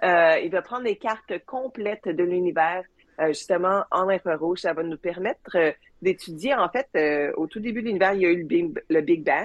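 A woman talks at a moderate pace in a normal speaking voice, at medium pitch with ordinary pitch variation. The sound is dry and close with no echo. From Quebec (Joliette), later Manchester, England. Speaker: space engineer. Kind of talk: interview. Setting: video call.

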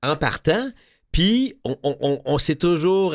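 A man with a Quebec accent and ordinary pitch variation, on a very clean recording with a silent background. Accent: Québécois French. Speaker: radio host. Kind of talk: radio announcement; interview. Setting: studio.

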